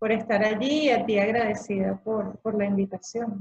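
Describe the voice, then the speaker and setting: The delivery is monotone and flat, at a fairly slow pace. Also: woman. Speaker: dance movement therapist. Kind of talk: interview. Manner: halting, stutters when nervous.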